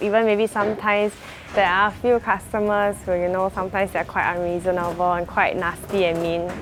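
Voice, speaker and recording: A woman in a Singaporean accent, medium-pitched and fairly quick, her intonation fairly even, with music in the background. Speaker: live-stream auctioneer / seller. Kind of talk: casual talk to camera, documentary interview.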